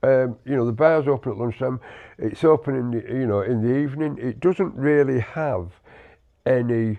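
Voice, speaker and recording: Someone with a British accent speaks at a moderate pace with ordinary pitch variation. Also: man, medium pitch for a man. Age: 60s. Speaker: podcast co-host, army veteran. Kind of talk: casual chat. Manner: halting, many repetitions.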